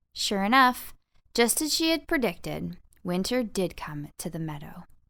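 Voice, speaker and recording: A woman speaks at a medium pitch and a moderate pace, her tone bright, sharp, warm and playful. Her pitch swings very widely on a very clean recording with a silent background. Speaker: voice over artist and narrator. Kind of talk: children's audiobook narration. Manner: warm storytelling, playful.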